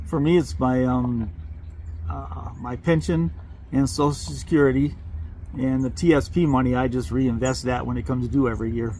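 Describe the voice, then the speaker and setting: Amid noticeable background noise and audible room echo, a man at medium pitch speaks with very wide pitch swings. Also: moderate pace. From Vermont. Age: 70s. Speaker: retired civil engineering manager, travel vlogger. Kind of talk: casual interview chat.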